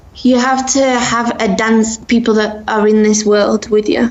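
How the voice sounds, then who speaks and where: A woman speaks at a fairly high pitch in a flat, monotone delivery, with noticeable noise in the background. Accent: English. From England, Sheffield. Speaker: dance instructor. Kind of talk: interview. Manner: halting.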